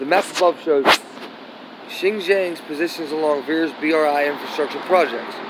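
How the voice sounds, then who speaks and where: A man speaks at a moderate pace with a fairly high pitch. Noticeable background noise and audible room echo surround his voice. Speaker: YouTube commentator. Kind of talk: reading aloud. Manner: halting.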